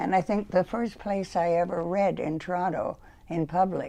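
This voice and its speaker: A woman speaks with a Canadian accent at a fairly low pitch. Her voice carries vocal fry, and her pitch variation is ordinary. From Ontario, Canada. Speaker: poet. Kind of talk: poetry reading; interview.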